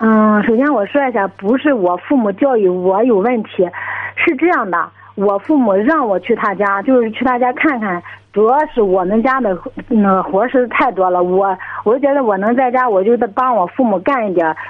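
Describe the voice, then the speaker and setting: Over noticeable background noise, the speaker goes at a moderate pace with lively intonation and very even loudness. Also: woman, fairly high pitch for a woman. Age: 20s. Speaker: caller with family problem. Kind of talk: radio call-in advice. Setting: phone call. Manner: halting. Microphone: crackly phone line.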